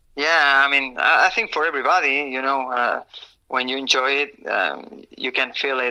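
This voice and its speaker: Speaking at a fairly slow pace, a man with a Spanish accent has a bright, sharp tone and a fairly high pitch. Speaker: pro motocross racer. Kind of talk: interview. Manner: halting.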